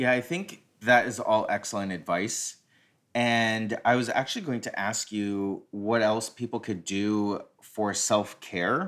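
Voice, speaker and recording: A man talks in an ordinary speaking voice at a medium pitch, with ordinary pitch variation. The recording is very clean, with a silent background. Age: 40s. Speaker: recovery podcast host. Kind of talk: casual chat.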